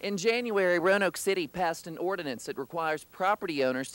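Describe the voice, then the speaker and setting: With an American accent, a man talks at a fairly quick pace in a high pitch, and the sound is dry and close with no echo. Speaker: news anchor and reporter intern. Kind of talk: TV news anchor read.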